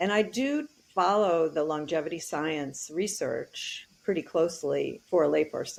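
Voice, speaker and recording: Here is a woman with an unremarkable speaking voice and a fairly low pitch. Her intonation is lively and her pace fairly slow. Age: 60s. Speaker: technology advocate and author. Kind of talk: interview.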